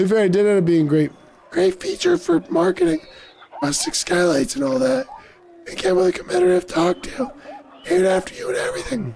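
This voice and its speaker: This put-on character voice is raspy and sits at a middle pitch. It moves at a fairly quick pace but breaks into long, frequent pauses. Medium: game stream. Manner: dry, sarcastic.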